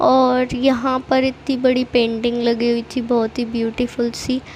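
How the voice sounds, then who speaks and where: Very slowly, a woman speaks in a high, monotone voice with flat intonation. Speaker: vlogger. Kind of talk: travel vlog voiceover. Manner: casual, chatty.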